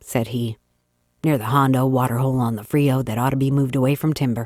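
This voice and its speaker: A woman with a Texas accent speaks at a moderate pace in a very deep, low voice with a dark, mellow tone, and the sound is dry and close with no echo. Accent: put-on Texas accent for dialogue. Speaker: audiobook narrator. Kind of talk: classic short story reading.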